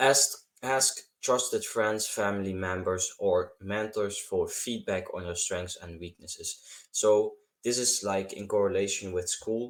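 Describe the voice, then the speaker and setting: A man with a non-native accent at a fairly slow pace, very clean recording with a silent background. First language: not English. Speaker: self-improvement YouTuber. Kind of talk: advice tutorial monologue. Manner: halting, repeats words.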